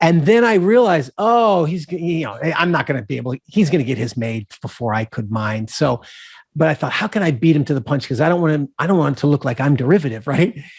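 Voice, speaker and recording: Very fast speech with very wide pitch swings, dry and close with no echo, on a very clean recording with a silent background. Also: man, fairly high pitch for a man. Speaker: screenwriter and novelist. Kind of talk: interview conversation. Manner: clear and easy to understand; halting, many restarts.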